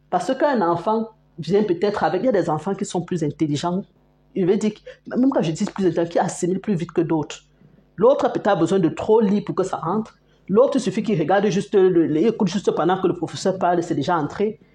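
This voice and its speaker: Speaking very fast, a woman uses a medium pitch with ordinary variation, her somewhat breathy voice dark and mellow in tone. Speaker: parenting vlogger. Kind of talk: casual talk to camera.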